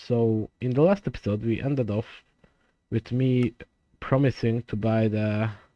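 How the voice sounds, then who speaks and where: A man with a non-native accent at a fairly slow pace, in a dry, close sound with no echo. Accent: noticeable non-native. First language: not English (English is third language). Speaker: gaming YouTuber. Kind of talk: gameplay commentary. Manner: deliberately slower, consistent volume; halting, many fillers.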